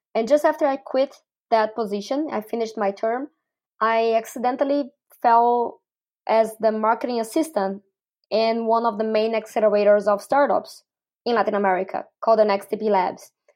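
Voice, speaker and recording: With a Portuguese accent, a woman talks at a moderate pace with fairly even intonation. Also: fairly high pitch for a woman. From Brazil. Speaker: startup community builder. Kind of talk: interview.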